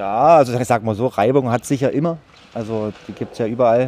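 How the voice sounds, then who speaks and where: In a plain, everyday voice, a man speaks at a medium pitch and a fairly quick pace. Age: 40s. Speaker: site caretaker. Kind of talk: interview.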